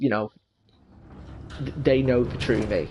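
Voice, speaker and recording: Vocal fry runs through the speech, and the intonation stays fairly even. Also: man. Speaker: gaming YouTuber. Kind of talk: let's play commentary. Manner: loud; halting.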